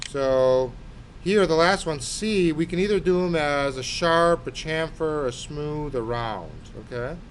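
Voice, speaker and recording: Here a man speaks in an ordinary speaking voice. His pitch is fairly high, with ordinary pitch variation. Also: fairly slow pace. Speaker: architecture instructor. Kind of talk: tutorial.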